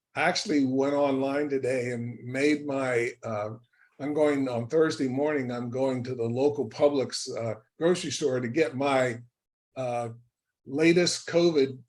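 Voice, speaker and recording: With audible room echo, a man talks at a fairly slow pace and medium pitch with fairly even intonation. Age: 70s. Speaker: professor. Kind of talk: lecture. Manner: informal.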